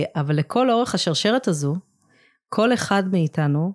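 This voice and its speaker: On a very clean recording with a silent background, the woman's delivery is fairly slow. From England (moved to Israel as a child). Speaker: nonprofit founder. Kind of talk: interview.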